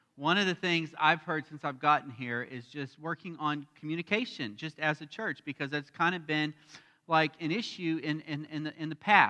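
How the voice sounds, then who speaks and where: A loud man in an American accent, fairly high in pitch with a bright, sharp tone, ordinary pitch variation, and a moderate pace. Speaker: pastor. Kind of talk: sermon. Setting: church.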